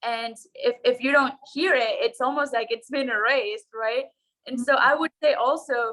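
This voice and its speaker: At a fairly slow pace, a high-pitched woman speaks with a slight Ecuadorian accent. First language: Spanish. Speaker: consultant. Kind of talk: casual interview chat.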